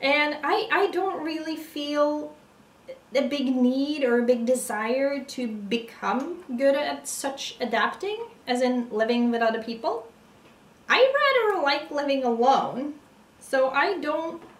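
In a room with audible echo, a woman speaks at a very slow pace with a high pitch and ordinary pitch variation. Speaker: puzzle vlogger. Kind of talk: casual vlog chat. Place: home room. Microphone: camera far.

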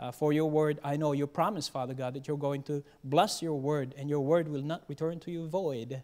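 The speaker is a man at a moderate pace. His intonation is fairly even. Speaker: preacher. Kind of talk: sermon. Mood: solemn, earnest. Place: church. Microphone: podium.

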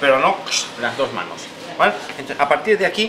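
Noticeable background noise behind a man's voice. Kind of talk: tutorial. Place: shop.

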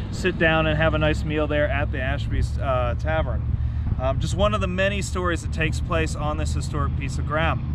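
A man at a moderate pace, dry with no echo, over loud background noise. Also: ordinary pitch variation. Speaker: history guide. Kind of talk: historical storytelling to camera. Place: open country.

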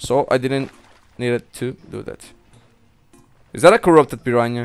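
Over music in the background, a man talks at medium pitch with ordinary pitch variation, the sound dry and close with no echo. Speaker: gaming video creator. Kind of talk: let's play commentary.

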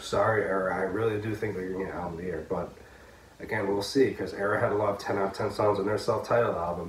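Over light background noise and audible room echo, a man with a fairly low pitch speaks very fast in a monotone, flat intonation. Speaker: music reviewer. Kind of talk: casual vlog chat. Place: home room. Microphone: phone near.

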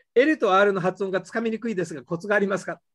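The speech comes at a very fast pace over a quiet background. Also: man. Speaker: English teacher. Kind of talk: lecture. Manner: animated. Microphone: video call.

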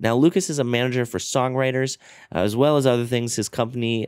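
A man talks at a very fast pace with ordinary pitch variation. The sound is dry with no echo, over a quiet background. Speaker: podcast host. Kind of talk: podcast intro monologue. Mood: warm, grateful. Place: home room. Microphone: studio mic.

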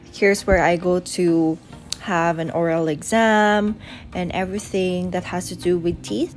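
A woman speaks at a fairly slow pace with faint music in the background. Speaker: vlogger. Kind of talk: casual vlog chat.

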